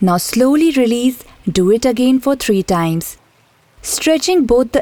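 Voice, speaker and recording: In a fairly slow, soothing delivery, a woman uses a fairly high pitch, a dark, mellow tone and lively intonation. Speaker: meditation teacher. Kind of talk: guided meditation, slow body-scan relaxation script over background music. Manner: slow, soothing and gently instructive; repetitive, calm cueing of each step.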